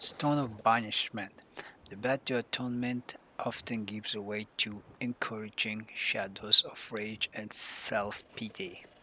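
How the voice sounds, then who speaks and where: The speaker, who has a non-native accent, talks fairly slowly. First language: not English. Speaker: gaming streamer. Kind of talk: reading aloud. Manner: halting.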